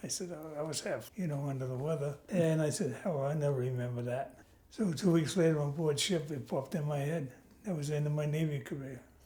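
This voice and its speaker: With a New York accent, a man speaks fairly quickly in a fairly high, somewhat breathy voice that has a dark, mellow tone and ordinary pitch variation. Audible room echo surrounds him. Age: 90. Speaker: Navy veteran and grandfather. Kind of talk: family interview.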